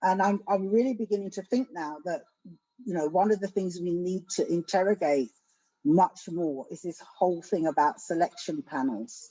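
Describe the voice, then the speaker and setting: In a London accent, a woman with a medium pitch and a dark, mellow tone talks at a moderate pace with lively intonation, the sound dry and close with no echo. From England, South London. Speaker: education academic. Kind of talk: panel discussion. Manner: soft-spoken.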